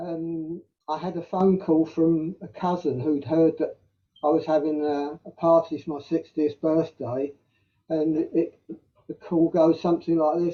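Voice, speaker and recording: A man talks with a South London accent. His pitch is high. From South London, England. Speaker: community member telling life story. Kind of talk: casual interview. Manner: halting.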